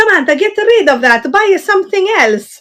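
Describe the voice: A woman puts on a sing-song character voice with an Italian accent, pitched extremely high and delivered at a moderate pace.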